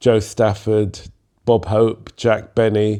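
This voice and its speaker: With a London accent, a man speaks at a moderate pace in a fairly low pitch with a dark, mellow tone. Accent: southern English (London). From London, England. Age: 70s. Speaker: jazz musician and composer. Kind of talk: interview storytelling.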